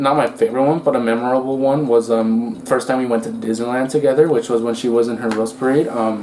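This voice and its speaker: With a Spanish accent, a man speaks at a fairly quick pace and a medium pitch, with ordinary pitch variation. Noticeable background noise is present. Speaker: couple vlogger. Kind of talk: casual chat.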